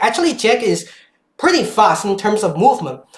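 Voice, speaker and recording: With a non-native accent, the speaker's pitch swings very widely. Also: woman. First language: not English. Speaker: gaming streamer. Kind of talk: live stream commentary. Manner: halting, many fillers.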